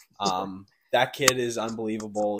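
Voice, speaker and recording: A man with a Canadian accent speaks at a fairly slow pace. His pitch is fairly low. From Campbell River, Vancouver Island, British Columbia. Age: 20s. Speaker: podcast co-host, junior hockey player. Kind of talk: casual chat.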